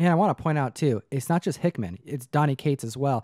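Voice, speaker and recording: Against a quiet background, a man with a dark, mellow tone speaks at a very fast pace with lively intonation, the sound dry with no echo. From grew up in the back of a comic book store. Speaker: comic book channel host. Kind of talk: casual chat. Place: studio. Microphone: studio mic.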